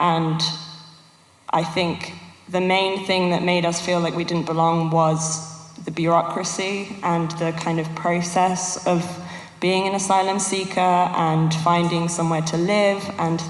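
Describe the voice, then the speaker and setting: The speaker has a British accent and a fairly slow pace. Noticeable background noise runs underneath. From England (raised in UK from age 4, born in Yugoslavia). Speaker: panelist, former refugee. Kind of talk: panel discussion.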